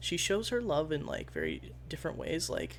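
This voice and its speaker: The voice is quiet and proceeds at a moderate pace. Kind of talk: casual talk to camera.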